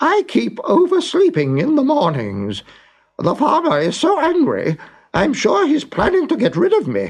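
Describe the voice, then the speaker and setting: A man does a put-on character voice. It is extremely high-pitched and delivered at a moderate pace. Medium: read story.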